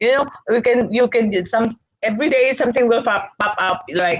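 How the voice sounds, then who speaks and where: At a moderate pace, a woman talks with a fairly high pitch and an animated tone. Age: 60s. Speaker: business executive, speaker. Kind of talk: webinar lecture.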